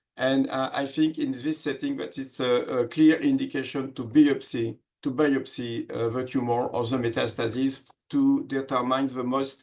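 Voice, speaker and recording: A man speaks with a French accent. He leaves hardly any pauses. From France. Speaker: surgeon. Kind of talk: lecture. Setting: webinar. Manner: halting, many fillers.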